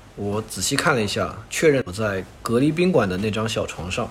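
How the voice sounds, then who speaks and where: A man speaks with lively intonation. There is noticeable background noise behind him. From China, Wuxi (Jiangsu). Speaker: overseas student. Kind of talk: casual chat.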